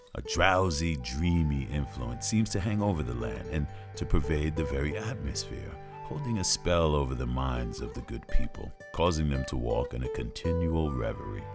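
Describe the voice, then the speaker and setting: With music in the background, a man with a very deep, low voice speaks at a moderate pace with lively intonation. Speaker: narrator. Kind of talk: storytelling narration.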